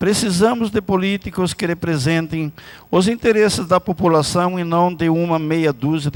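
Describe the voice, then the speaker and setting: A man talks fairly slowly with ordinary pitch variation in a plain, everyday voice. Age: 60s. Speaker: city councillor. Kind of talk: political speech. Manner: formal.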